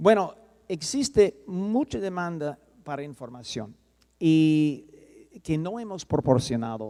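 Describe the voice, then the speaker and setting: Very slowly and with lively intonation, a speaker with a non-native accent and a dark, mellow tone talks on a very clean recording with a silent background. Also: man. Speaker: soil science professor. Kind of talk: conference lecture. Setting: conference hall with audience. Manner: halting, with self-corrections.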